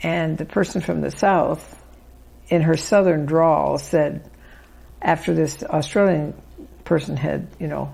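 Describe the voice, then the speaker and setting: Speaking at a fairly slow pace with long, frequent pauses, a woman talks in a Midwestern accent. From US Midwest, Chicago. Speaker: author. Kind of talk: interview. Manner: conversational.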